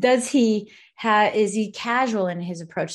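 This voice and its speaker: A woman with an American accent talks at a moderate pace in a somewhat breathy voice, pitched fairly high with ordinary variation. The recording is very clean, with a silent background. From Colorado. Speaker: mortgage industry mentor and author. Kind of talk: interview. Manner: animated.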